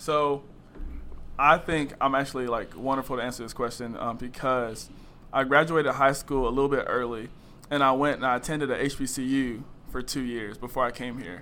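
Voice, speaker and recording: At a moderate pace, a man talks in a medium pitch with fairly even intonation. His tone is bright and sharp. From North Carolina, Greensboro. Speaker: college student. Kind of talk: casual interview.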